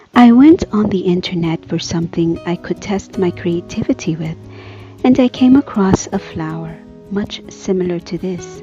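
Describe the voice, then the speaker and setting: Music plays in the background as a soft-spoken woman talks at a moderate pace in a soothing tone. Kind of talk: art tutorial narration. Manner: soft-spoken, soothing.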